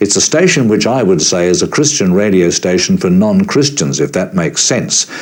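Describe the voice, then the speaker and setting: A man with an Australian accent, lively intonation, a moderate pace and hardly any pauses, over noticeable background noise. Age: 60s. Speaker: veteran broadcaster. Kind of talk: interview.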